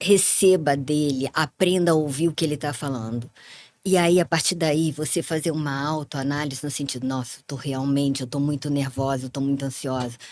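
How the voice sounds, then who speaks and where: A woman with a very deep, low voice talks at a moderate pace, her intonation fairly even. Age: 60s. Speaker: psychologist. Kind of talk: interview conversation.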